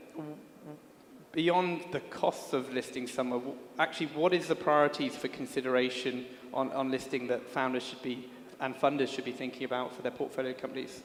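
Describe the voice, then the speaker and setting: Amid noticeable background noise, a man talks at a fairly quick pace in a medium pitch, with fairly even intonation and big swings in loudness. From UK. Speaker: panel moderator. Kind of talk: panel discussion.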